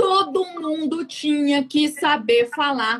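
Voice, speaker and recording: Her tone is animated, with very wide pitch swings. The woman's voice sits high. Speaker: fuel station service consultant. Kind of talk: live stream interview.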